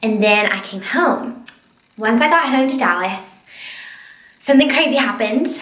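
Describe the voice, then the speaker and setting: With long, frequent pauses and audible room echo, a woman speaks at a high pitch in an animated tone with lively intonation. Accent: American. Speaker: lifestyle blogger and YouTuber. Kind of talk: casual vlog chat. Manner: fast.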